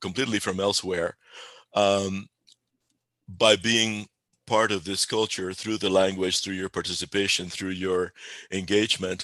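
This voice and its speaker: Long, frequent pauses break up a man's speech, delivered in a fairly low pitch with a bright, sharp tone, monotone, flat intonation and a Spanish accent. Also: quiet background. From Spain (Galicia), Cuba and Puerto Rico. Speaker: pagan spiritual leader. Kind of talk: interview. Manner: halting, many repeated words and fillers.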